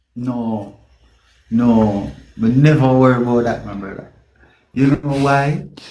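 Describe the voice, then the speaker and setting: With a Jamaican accent, the speaker has a dark, mellow tone and ordinary pitch variation, moving at a fairly slow pace with long, frequent pauses. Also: man, medium pitch for a man. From Mandeville, Jamaica. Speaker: reggae singer. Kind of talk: interview answer.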